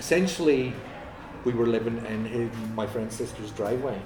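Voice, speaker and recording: A man talks at a moderate pace with a medium pitch and ordinary pitch variation. Noticeable background noise and audible room echo fill the recording. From Northern Ireland, Ballymena. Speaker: musician. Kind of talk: casual interview. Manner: halting.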